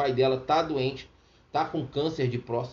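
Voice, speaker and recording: There is audible room echo around a man's somewhat breathy voice, pitched medium with fairly even intonation. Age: 50s. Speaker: radio preacher. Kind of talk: sermon with personal testimony. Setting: radio studio.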